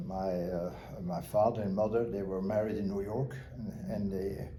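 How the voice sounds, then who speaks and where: Speaking at a moderate pace, a man uses ordinary pitch variation as his voice echoes audibly around the room. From Belgium. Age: 80s+. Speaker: retired power system consultant. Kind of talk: interview. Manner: hesitant, many fillers.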